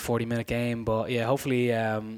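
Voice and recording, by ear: A man speaks at a medium pitch with little pitch movement.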